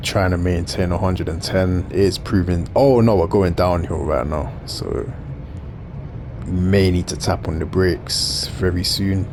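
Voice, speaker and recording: A man's very deep, low voice at a fairly slow pace, with ordinary pitch variation, audible room echo and noticeable background noise. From South London. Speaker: gaming YouTuber. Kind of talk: gameplay commentary. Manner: casual, conversational.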